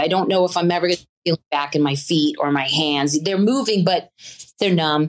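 A woman talks at a moderate pace in a normal speaking voice. Her pitch is fairly low. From US South. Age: 50s. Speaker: person living with a chronic illness. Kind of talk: interview. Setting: video call.

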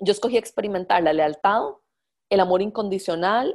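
A woman has an ordinary speaking voice with a medium pitch. Her pitch variation is ordinary. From Costa Rica. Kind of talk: lecture. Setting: live call.

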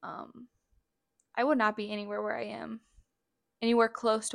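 The sound is dry and close with no echo as a woman speaks at a moderate pace. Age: 20s. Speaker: podcast host. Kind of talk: testimony. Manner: casual, hesitant with fillers.

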